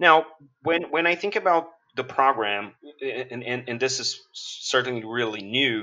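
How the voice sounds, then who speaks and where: A man with a Portuguese accent talks fairly slowly with lively intonation. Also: medium pitch for a man. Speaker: podcast host. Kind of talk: interview.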